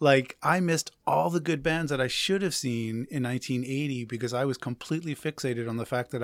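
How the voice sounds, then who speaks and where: Talking at a fairly quick pace in an American accent, a man with an unremarkable speaking voice shows ordinary pitch variation, on a very clean recording with a silent background. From New Jersey. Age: 50s. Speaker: musician. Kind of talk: casual chat.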